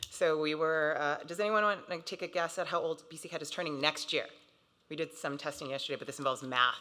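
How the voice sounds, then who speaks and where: Her very deep, low voice has a bright, sharp tone as this woman speeds along at a very fast pace with fairly even intonation and big swings in loudness. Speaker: associate director at a transfer council. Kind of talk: conference presentation.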